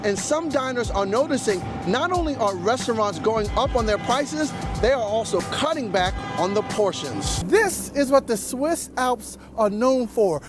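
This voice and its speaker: The pace is moderate. Behind the voice, music is playing. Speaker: business news reporter and anchor. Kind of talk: TV news report and interview questions.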